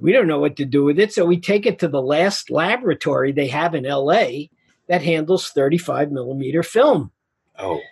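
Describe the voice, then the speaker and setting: A man with a New York accent speaks at a moderate pace with a fairly high pitch. His intonation is lively, and there is vocal fry in his voice. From Queens, New York. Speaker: film director and author. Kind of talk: casual interview chat.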